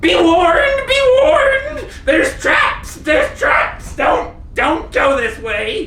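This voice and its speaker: Someone uses a put-on character voice at an extremely high pitch, talking very slowly with a slight echo. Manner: rattling, yelling a warning.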